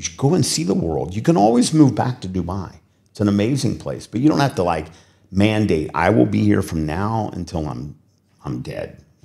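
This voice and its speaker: With a Midwestern accent, a man with a very deep, low pitch speaks at a moderate pace in an animated tone, using vocal fry, very wide pitch swings and big swings in loudness. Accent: American Midwestern. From US Midwest, Cincinnati. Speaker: business executive. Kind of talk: interview.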